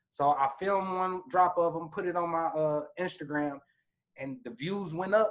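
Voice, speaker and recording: A man with an American accent speaks at a high pitch with ordinary pitch variation. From Indianapolis, Indiana, US Midwest. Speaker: camera operator, filmmaker and rapper. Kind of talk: casual interview chat. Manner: casual, slangy.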